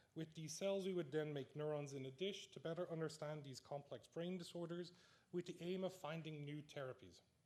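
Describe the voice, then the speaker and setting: Speaking fairly quickly with an Irish accent, a man uses a fairly high pitch and ordinary pitch variation. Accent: Irish, noticeable. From Ireland, Dublin. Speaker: neuroscience researcher, award recipient. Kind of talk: award acceptance speech. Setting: stage with audience in amphitheatre.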